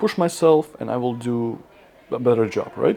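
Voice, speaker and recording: Over noticeable background noise, a man with a non-native accent speaks at a moderate pace. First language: not English. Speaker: fitness content creator. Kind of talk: casual talk to camera. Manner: halting.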